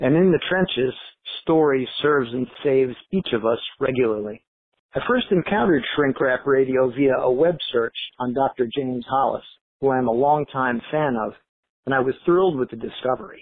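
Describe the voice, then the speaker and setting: In a normal speaking voice, a man talks at a moderate pace and a medium pitch with ordinary pitch variation. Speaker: personal trainer, listener contributor. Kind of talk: recorded listener message.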